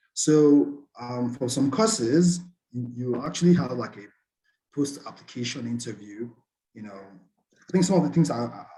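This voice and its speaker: This is a man's voice. It sounds somewhat breathy, with ordinary pitch variation. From Nigeria, Port Harcourt. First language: Nigerian Pidgin. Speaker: scholarship student. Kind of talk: webinar presentation.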